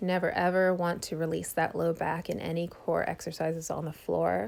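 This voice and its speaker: A woman talks at a moderate pace with fairly even intonation and a fairly low pitch. It is a normal speaking voice. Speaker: fitness instructor. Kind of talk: workout tutorial. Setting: home bedroom.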